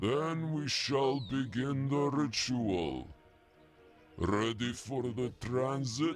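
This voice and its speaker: A man's put-on character voice at a medium pitch and a very slow pace, with faint music in the background. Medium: audio drama.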